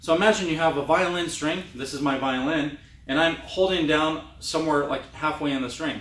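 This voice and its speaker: In a room with audible echo and noticeable background noise, a man talks at a fairly high pitch with ordinary pitch variation. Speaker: trumpet teacher. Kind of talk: tutorial. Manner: fast.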